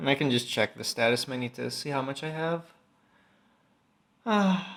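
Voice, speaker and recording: The man's fairly high pitch comes with lively intonation. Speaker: gaming video creator. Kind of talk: gameplay commentary. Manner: slow at times.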